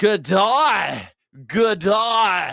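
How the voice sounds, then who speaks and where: A put-on character voice with a fairly high pitch comes through a very clean recording with a silent background. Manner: friendly.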